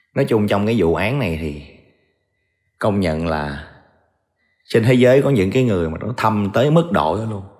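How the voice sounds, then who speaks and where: Speaking at a moderate pace with long, frequent pauses, a man with a fairly low pitch makes very wide pitch swings amid audible room echo. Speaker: true crime storyteller. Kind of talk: storytelling narration. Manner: casual conversational.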